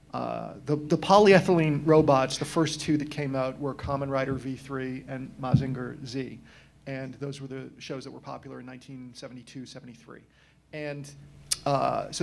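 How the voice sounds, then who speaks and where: A man with an American accent speaks at a moderate pace in a fairly high pitch, his loudness swinging widely. Background noise is noticeable. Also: fairly even intonation. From Massachusetts, US. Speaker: toy collector and panelist. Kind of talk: convention panel discussion.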